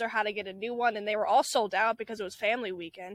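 A woman talks at a very fast pace, the sound dry and close with no echo. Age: young. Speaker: college student podcast co-host. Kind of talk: casual chat.

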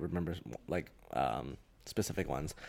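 A man with an American accent at a moderate pace, lively intonation, on a very clean recording with a silent background. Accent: international, sounds American to some. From Hong Kong. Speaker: graduate student. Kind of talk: casual chat.

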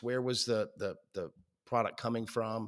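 Speaking at a moderate pace, a man with an unremarkable speaking voice and medium pitch is heard on a very clean recording with a silent background. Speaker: podcast host. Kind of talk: casual interview chat.

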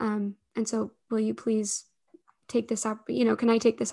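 This is a woman speaking with a Utah accent. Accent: Utah American English. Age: 20s. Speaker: startup founder and CEO. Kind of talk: interview conversation.

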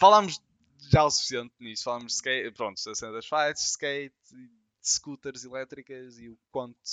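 This man speaks in a European Portuguese accent at a fairly high pitch with ordinary pitch variation. His loudness swings widely. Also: moderate pace. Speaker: podcast co-host. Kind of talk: casual chat.

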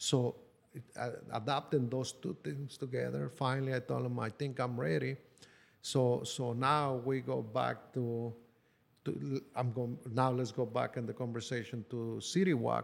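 A man speaks with a Spanish accent at a medium pitch. His pace is fairly slow, with ordinary pitch variation. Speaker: construction worker. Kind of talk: personal life story. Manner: halting with frequent fillers.

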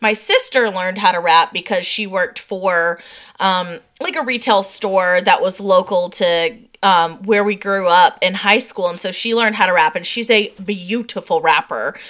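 A woman with a plain, everyday voice, medium in pitch, fairly even in intonation, at a moderate pace. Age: 30s. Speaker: podcast co-host. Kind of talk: casual chat.

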